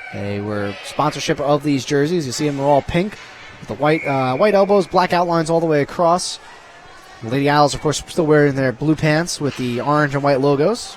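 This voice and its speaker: A man's fairly high voice with ordinary pitch variation, set against noticeable background noise. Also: fairly quick pace. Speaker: hockey play-by-play announcer. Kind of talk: live commentary. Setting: ice arena. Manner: animated.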